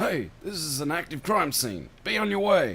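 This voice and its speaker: A man's gruff, put-on character voice, shouting at a fairly high pitch with very wide pitch swings, at a moderate pace over light background noise. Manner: yelling, gruff.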